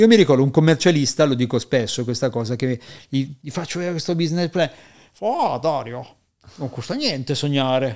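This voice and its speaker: Ordinary pitch variation from a man speaking fairly high. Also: fairly quick pace, quiet background. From Piedmont, Italy (Asti); born Parma to Neapolitan parents; Piedmont, Italy. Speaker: entrepreneur and performance coach; performance coach. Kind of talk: podcast interview. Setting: studio in Milan, face to face. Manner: animated, profane. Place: studio. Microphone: studio mic.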